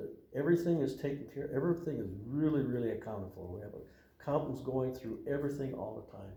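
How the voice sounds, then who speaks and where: A man's somewhat breathy, fairly high voice moves at a very fast pace with ordinary pitch variation and big swings in loudness. Audible room echo colors the sound. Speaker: Freemason lodge official. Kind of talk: interview. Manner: halting, many fillers.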